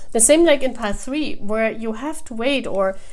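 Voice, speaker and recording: A woman with a German accent speaks with ordinary pitch variation. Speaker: tarot reader. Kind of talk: tarot reading. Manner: halting.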